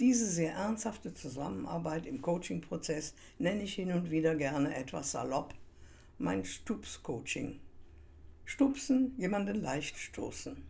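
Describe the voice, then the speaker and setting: A woman speaks at a fairly low pitch with vocal fry and a dark, mellow tone, her pitch swinging very widely. Her pace is fairly slow, and the room echo is audible. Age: 80s+. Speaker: coach and podcast host. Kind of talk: scripted monologue.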